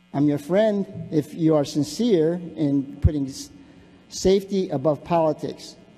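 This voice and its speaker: With music in the background, a man with an American accent speaks fairly slowly at a fairly high pitch with ordinary pitch variation. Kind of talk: public comment speech. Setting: city council chamber. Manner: halting, many fillers and repetitions.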